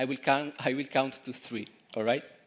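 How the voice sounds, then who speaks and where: A man with an Italian accent at a moderate pace. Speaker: street musician / performer. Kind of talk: stage introduction to audience. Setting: stage with audience. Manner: halting.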